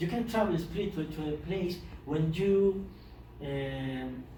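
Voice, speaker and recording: The room echo can be heard. A man talks very slowly. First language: Spanish. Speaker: poet. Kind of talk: lecture. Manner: halting.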